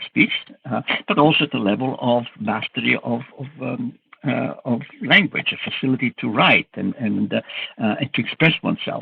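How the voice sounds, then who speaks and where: Speaking at a moderate pace, a man talks with a strong Italian accent. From Italy. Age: 70s. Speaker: cognitive scientist, professor. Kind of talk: interview. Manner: halting, many fillers.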